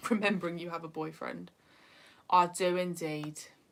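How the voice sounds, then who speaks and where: A woman speaks in a northeast English accent. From northeast England. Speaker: YouTuber. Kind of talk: livestream chat. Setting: livestream.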